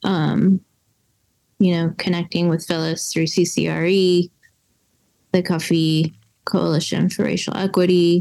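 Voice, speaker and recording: Someone with an American accent speaks at a very slow pace, with long, frequent pauses. The intonation is monotone and flat. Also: woman, fairly low pitch for a woman. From US South, western North Carolina. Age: 30s. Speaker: coffee roaster and business owner. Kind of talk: casual interview chat.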